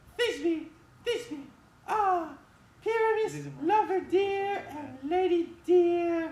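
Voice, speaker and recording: A squeaky, put-on character voice, female-sounding and extremely high in pitch for a woman, at a very slow pace with audible echo. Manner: mock-dramatic.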